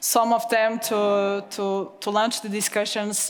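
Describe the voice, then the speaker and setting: Noticeable background noise sits behind a woman with a fairly high voice. She speaks at a fairly slow pace. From Portugal. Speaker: panel moderator. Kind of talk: panel moderation.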